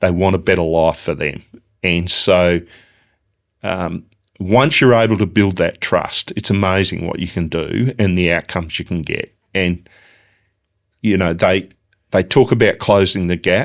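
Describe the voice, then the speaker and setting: With an Australian accent, a man speaks in a very deep, low pitch at a fairly slow pace with long, frequent pauses, on a very clean recording with a silent background. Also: ordinary pitch variation. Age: 60s. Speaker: business founder. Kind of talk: interview. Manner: halting.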